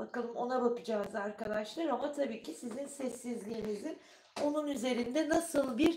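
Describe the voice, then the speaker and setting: Here a woman speaks with a high pitch. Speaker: tarot reader. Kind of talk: live tarot reading stream. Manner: casual, chatty.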